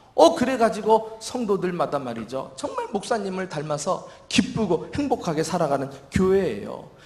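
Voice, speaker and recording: In a Seoul accent, a man talks at a moderate pace in a high voice with very wide pitch swings. Audible room echo and noticeable background noise surround him. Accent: Seoul Korean. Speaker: senior pastor. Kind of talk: sermon.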